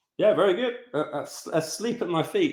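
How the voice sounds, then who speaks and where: Using vocal fry, a man with an English accent lets his pitch swing very widely. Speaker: football club co-owner. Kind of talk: podcast interview. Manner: halting.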